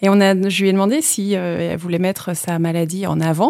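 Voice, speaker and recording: A fairly low, dark, mellow woman's voice with fairly even intonation. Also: dry, close sound with no echo. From Vendée, France (La Roche-sur-Yon). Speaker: physiotherapist and amateur triathlete. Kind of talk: casual interview. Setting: studio.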